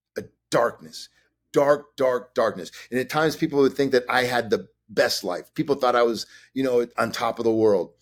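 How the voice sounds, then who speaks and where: In an ordinary speaking voice, a man with an American accent talks at a moderate pace and medium pitch. His pitch variation is ordinary, and the recording is very clean with a silent background. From Chicago, US. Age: 50s. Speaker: actor and director. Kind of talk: interview.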